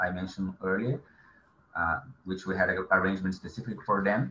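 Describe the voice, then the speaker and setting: There is light background noise as a man speaks in a fairly low pitch with a bright, sharp tone. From Brazil. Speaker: government agency coordinator; webinar panelist. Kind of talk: webinar presentation.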